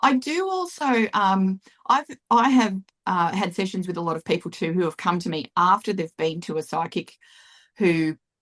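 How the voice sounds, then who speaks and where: A woman speaks at a medium pitch and a moderate pace with lively intonation. The sound is dry and close with no echo, over a quiet background. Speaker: psychic medium and intuitive healer. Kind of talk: casual interview chat. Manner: animated.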